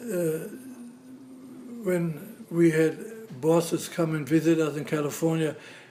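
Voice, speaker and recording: Amid noticeable background noise, a man with a fairly high pitch talks at a fairly slow pace with fairly even intonation and long, frequent pauses. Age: 80s+. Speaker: grandfather interviewed for school project. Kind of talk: casual interview; reading prepared statement.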